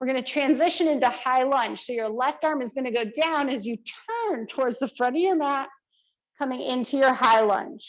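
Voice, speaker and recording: Loud and high-pitched, a woman talks at a moderate pace with ordinary pitch variation. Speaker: yoga teacher. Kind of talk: guided yoga class.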